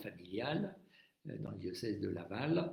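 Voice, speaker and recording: With lively intonation and a dark, mellow, somewhat breathy tone, a man talks at a moderate pace in a room with audible echo. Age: 70s. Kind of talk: live-stream talk on faith. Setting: Facebook live stream. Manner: hesitant, many fillers.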